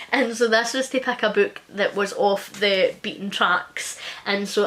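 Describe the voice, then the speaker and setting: At a moderate pace and with fairly even intonation, a woman with medium pitch speaks in an East Scottish accent over noticeable background noise. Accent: East Scotland. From Scotland, West Lothian. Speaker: book youtuber. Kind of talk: casual chat.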